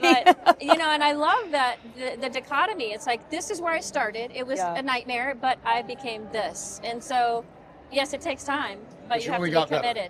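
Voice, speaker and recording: Big swings in loudness and very wide pitch swings at a moderate pace, over noticeable background noise. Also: woman, high pitch for a woman. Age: 60s. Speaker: home cook and former opera singer. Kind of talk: interview answer.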